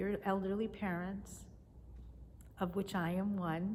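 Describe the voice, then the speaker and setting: A woman speaks at a medium pitch and fairly slow pace in a somewhat breathy voice with monotone, flat intonation. Audible room echo surrounds her. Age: 60s. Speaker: teacher and video blogger. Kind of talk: casual devotional talk to camera. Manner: conversational.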